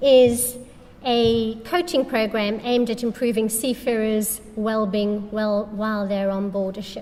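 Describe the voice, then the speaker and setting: Speaking at a fairly slow pace in a fairly high pitch, a woman is heard with noticeable background noise and audible room echo. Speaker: charity representative. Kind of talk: conference talk.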